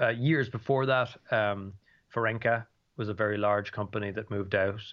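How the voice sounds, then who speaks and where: With a Dublin accent, a man speaks in a fairly low voice with fairly even intonation. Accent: Irish (Dublin). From Ireland, Dublin. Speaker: economics professor. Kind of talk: interview. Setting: remote call from home. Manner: halting, many fillers and repetitions.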